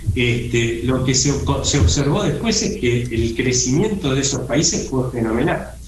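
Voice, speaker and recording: Over noticeable background noise and audible room echo, a man speaks at a fairly slow pace and medium pitch, with very wide pitch swings but very even loudness. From Argentina. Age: 60s. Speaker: economist, think tank director. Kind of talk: radio interview.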